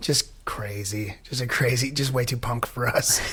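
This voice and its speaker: Noticeable background noise sits behind a speaker with a Pacific Northwest accent. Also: man. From Washington State, US (Enumclaw area). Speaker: punk rock singer. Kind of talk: casual interview chat.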